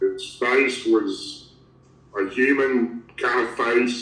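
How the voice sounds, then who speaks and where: A man speaks with a Southern US accent. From Tennessee. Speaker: Bigfoot researcher, former elected official. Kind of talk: interview answer.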